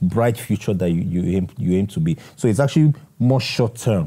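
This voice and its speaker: A man speaks in a dark, mellow tone. His voice is somewhat breathy, and the background is quiet. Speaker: interview guest. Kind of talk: interview answer. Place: home room. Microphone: lapel.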